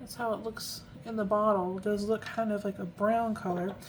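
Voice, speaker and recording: Soft-spoken and fairly high-pitched, a woman talks at a moderate pace. Her intonation stays fairly even. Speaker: fountain pen ink reviewer. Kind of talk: casual product review tutorial.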